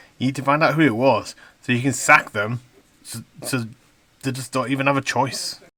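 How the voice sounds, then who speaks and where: This man has a strong Yorkshire accent and a medium-pitched voice with a bright, sharp tone. He talks at a fairly quick pace on a very clean recording with a silent background. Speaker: news commentator on a video channel. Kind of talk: reading aloud a news article with commentary. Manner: animated, indignant.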